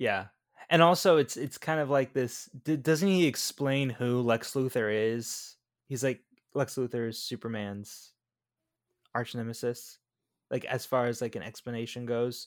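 A man with an American accent speaks at a fairly slow pace, his pitch medium with ordinary variation. He has an ordinary speaking voice, and the recording is very clean with a silent background. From Florida. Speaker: podcast co-host. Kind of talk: casual chat.

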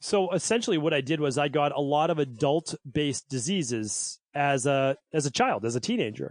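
With a plain, everyday voice and an American accent, a man talks at a moderate pace with a fairly high pitch, lively intonation and hardly any pauses. His loudness stays very even, with a dry, close sound with no echo and a quiet background. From Massachusetts (Medford, Boston area). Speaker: naturopathic doctor. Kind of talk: interview.

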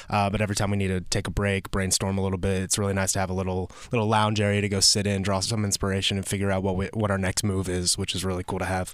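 A man's fairly low-pitched voice with an American accent, very fast and with hardly any pauses, in a monotone, flat intonation. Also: very even loudness, very clean recording, silent background. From Georgia, US South. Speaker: chef. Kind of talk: casual chat.

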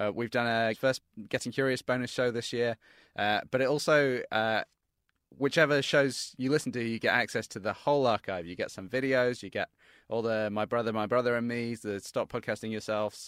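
With a British accent, a man speaks at a fairly quick pace and medium pitch with fairly even intonation. The sound is dry and close with no echo, on a very clean recording with a silent background. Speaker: podcast producer. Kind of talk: pledge drive pitch.

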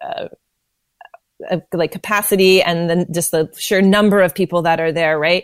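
A woman with a Canadian accent speaks in an unremarkable speaking voice at a medium pitch and moderate pace, with fairly even intonation and a dry, close sound with no echo. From northern Alberta, Canada. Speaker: business development consultant. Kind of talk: interview.

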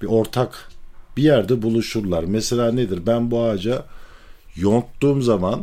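A man speaks in a dark, mellow tone. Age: 40s. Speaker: string instrument maker. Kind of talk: personal storytelling.

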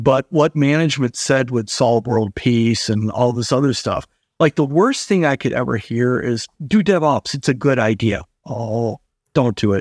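On a very clean recording with a silent background, a man with an unremarkable speaking voice has a medium pitch and ordinary pitch variation. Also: moderate pace, dry, close sound with no echo. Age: 50s. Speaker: industry analyst. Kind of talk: interview.

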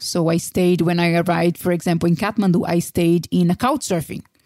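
A woman speaks very fast in a fairly low voice with a Brazilian accent. The sound is dry and close, with no echo. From Brazil, Vitória (Espírito Santo). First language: Portuguese. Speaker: career coach. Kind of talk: interview conversation.

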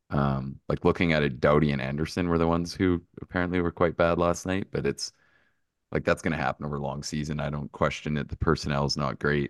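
A man with a very deep, low pitch and vocal fry talks at a very fast pace with fairly even intonation, in a dry, close sound with no echo and a quiet background. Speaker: betting analyst. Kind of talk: casual chat.

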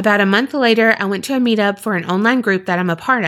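In a natural reading voice, the speaker uses ordinary pitch variation.

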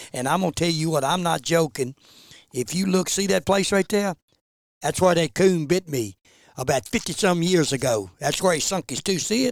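Speaking at a fairly quick pace with an American accent, a man has a high pitch, the sound dry and close with no echo in a very clean recording with a silent background. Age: 70s. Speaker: bear hunter and dog breeder. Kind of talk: casual chat.

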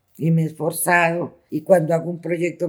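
The woman's pitch is fairly low. She keeps a fairly quick pace. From Bogotá, Colombia (Ciudad Bolívar). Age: 60s. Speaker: local historian and cultural organizer. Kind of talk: testimony. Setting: public library. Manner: halting.

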